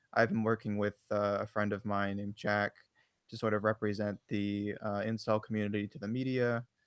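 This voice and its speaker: The man's pitch is fairly low and his intonation monotone and flat, at a fairly quick pace. The recording is very clean, with a silent background and a dry, close sound with no echo. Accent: American. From USA. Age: 20s. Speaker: online forum admin. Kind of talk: interview. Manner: hesitant, many fillers.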